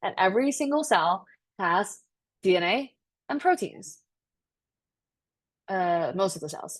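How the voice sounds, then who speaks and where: Her pitch is medium, with very wide swings. This woman leaves long, frequent pauses. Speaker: biology tutor. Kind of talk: lecture. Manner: fast.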